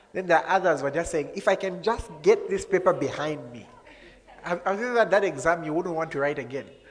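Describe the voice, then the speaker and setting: With an animated tone and a high voice, a man talks at a fairly quick pace, his pitch varying in an ordinary way while his loudness swings widely. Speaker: pastor. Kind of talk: sermon. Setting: church with congregation.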